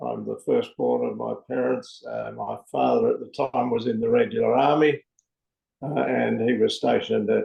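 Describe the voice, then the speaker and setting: Speaking at a moderate pace, a man talks in an Australian accent. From Australia, New South Wales (Sydney, Newcastle). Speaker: men's peer counsellor. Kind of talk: podcast interview. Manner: halting, many fillers.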